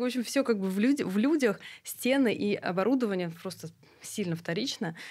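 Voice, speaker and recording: Against a quiet background, a woman talks at a fairly quick pace with lively intonation. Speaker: clinic network CEO. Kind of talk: casual chat. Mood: calm, reflective. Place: studio. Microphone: studio mic.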